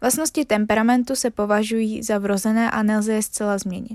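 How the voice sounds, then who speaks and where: This woman speaks at a moderate pace, her fairly high pitch carried by fairly even intonation. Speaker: podcast host explaining psychology. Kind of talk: casual chat; educational reading of study notes. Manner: stumbling over words, self-correcting.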